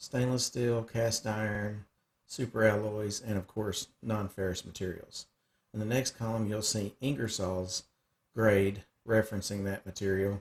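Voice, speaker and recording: A somewhat breathy man with a Southern US accent and fairly low pitch, at a fairly slow pace with fairly even intonation, on a very clean recording with a silent background. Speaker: cutting tools sales rep. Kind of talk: screen-share software tutorial. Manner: casual, hesitant with frequent fillers; words run together.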